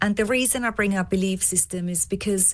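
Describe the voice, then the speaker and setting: Fairly even intonation in an Austrian accent. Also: woman. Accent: non-English, Austrian-tinged. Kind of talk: podcast interview.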